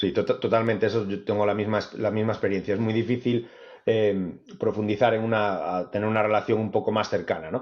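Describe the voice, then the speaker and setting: A man in an unremarkable speaking voice, medium pitch and fairly quick pace. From Spain. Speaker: author. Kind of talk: interview conversation.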